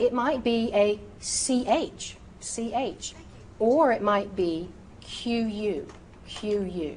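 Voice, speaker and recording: Speaking very slowly with long, frequent pauses, a woman uses a fairly high pitch and ordinary pitch variation amid audible room echo. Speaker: medical terminology instructor. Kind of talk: recorded lecture. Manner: frequent filler ums; precise, deliberate pronunciation.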